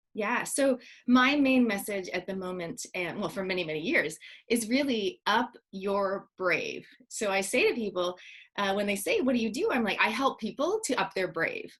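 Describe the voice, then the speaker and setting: A woman with a Canadian accent speaks in an ordinary speaking voice, fairly high in pitch, with ordinary pitch variation at a moderate pace. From Canada. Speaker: speaker and parenting author. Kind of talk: interview.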